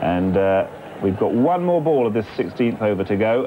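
Over noticeable background noise, a man at a medium pitch speaks with lively intonation. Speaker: cricket commentator. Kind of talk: live cricket commentary, summary. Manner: relaxed, conversational.

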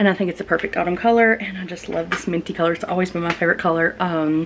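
A woman's voice comes through with light background noise behind it. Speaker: lifestyle vlogger. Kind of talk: casual vlog chat. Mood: cheerful, nostalgic storytelling. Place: kitchen. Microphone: phone near.

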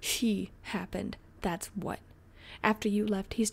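Plain reading aloud in a fairly even intonation.

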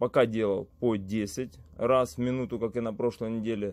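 The man's delivery is moderately paced, with a quiet background. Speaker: fitness vlogger. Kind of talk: casual vlog chat. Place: gym.

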